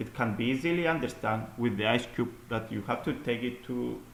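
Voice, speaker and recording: With a non-native accent, a man talks at a moderate pace in a medium pitch, his intonation fairly even, and the room echo is audible. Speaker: student presenting an assignment. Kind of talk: recorded class presentation. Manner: halting, with fillers and repeats.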